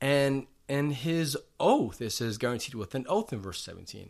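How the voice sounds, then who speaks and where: A man at medium pitch has an unremarkable speaking voice and a moderate pace. The recording is very clean, with a silent background. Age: 40s. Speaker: pastor. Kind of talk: sermon; casual chat.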